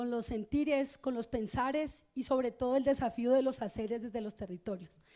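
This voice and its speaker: Her voice is high-pitched for a woman, with a dark, mellow tone. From Colombia, Cauca. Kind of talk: keynote lecture. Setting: stage with audience.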